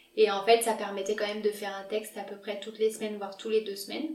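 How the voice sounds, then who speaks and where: Very fast, monotone, flat delivery from a woman at medium pitch. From France, Lyon. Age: 20s. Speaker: medical resident. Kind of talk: interview.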